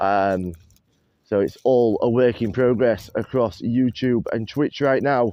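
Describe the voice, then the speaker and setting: Speaking at a fairly slow pace in a Yorkshire accent, a man uses a medium pitch with ordinary variation. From northern England, Doncaster. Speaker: live-stream host, plane spotter. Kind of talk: casual live-stream chat. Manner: rambling, chatty.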